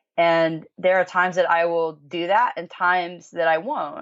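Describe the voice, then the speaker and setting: A woman with an ordinary speaking voice talks at a fairly slow pace and a fairly low pitch. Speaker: musician. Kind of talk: interview answer.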